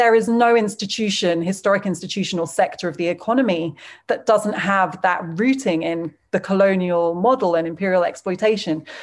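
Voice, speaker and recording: Against a quiet background, a woman with a British accent talks at a moderate pace and medium pitch, with ordinary pitch variation. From England. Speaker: journalist. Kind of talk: interview.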